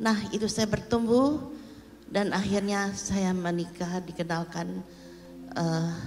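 Audible room echo surrounds a woman speaking at a very slow pace, her pitch fairly low and her intonation fairly even. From Indonesia, Jakarta. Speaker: pastor's mother. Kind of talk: testimony. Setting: church.

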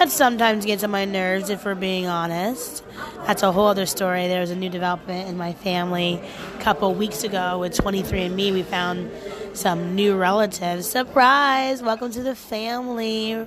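There's audible room echo and noticeable background noise as a woman at medium pitch speaks at a moderate pace with ordinary pitch variation. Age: 30s. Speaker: podcaster, former nanny. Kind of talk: casual monologue. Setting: restaurant, outdoors.

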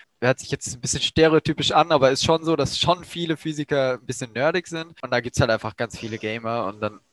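A man at a very fast pace with hardly any pauses, ordinary pitch variation, and a dry, close sound with no echo. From Germany, Baden region. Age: 18. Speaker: first-year physics student. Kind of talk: casual chat. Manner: casual, slangy.

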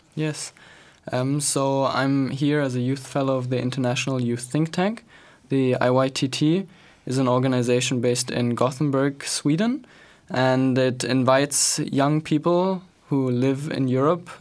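A man talks at a fairly slow pace. His pitch is medium and his intonation fairly even. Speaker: youth think tank fellow. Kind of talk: panel discussion. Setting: radio studio.

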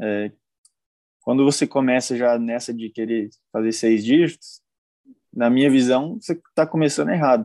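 A man with a dark, mellow tone talks at a moderate pace and medium pitch, with ordinary pitch variation and long, frequent pauses, in a dry, close recording with no echo and a quiet background. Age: 20s. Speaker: dropshipping entrepreneur, mentoring student. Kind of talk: live-stream interview. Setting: live stream.

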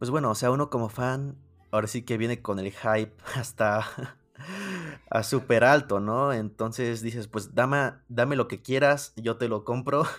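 Speaking at a fairly slow pace, this man has a medium pitch. His intonation stays fairly even. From Mexico. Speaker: music YouTuber. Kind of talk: casual interview chat.

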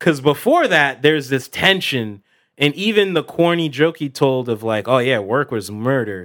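Against a silent background in a very clean recording, a man with a normal speaking voice and a fairly high pitch talks at a moderate pace with lively intonation. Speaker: podcast co-host.

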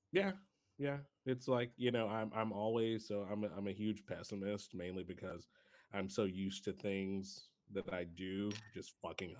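Here a man speaks with an unremarkable speaking voice. His pitch is fairly low and his pace moderate. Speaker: podcast co-host. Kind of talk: casual chat. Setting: video call.

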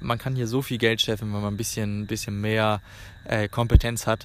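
Fairly even intonation marks the man's medium-pitched speech. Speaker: travel podcaster. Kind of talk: casual monologue. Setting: outdoors in a park. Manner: halting.

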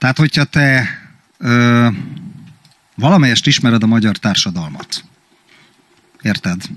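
The speaker uses lively intonation at a fairly slow pace, with long, frequent pauses. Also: man, medium pitch for a man. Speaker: podcast co-host. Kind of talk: casual chat.

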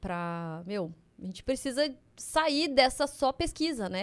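A woman speaks at a high pitch with very wide pitch swings. The recording is very clean, with a silent background. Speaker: chemistry PhD and biotech entrepreneur. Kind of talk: casual chat interview.

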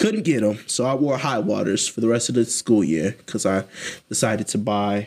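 A man with an American accent, an ordinary speaking voice, medium pitch, and a moderate pace. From Columbus, Ohio. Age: young adult. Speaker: podcast co-host. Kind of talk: casual chat.

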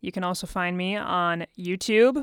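A woman with an American accent speaks in a fairly low voice with ordinary pitch variation. The recording is very clean, with a silent background and a dry, close sound with no echo. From US Midwest, Dayton, Ohio. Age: 20s. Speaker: singer-songwriter. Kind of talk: casual interview chat. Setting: studio.

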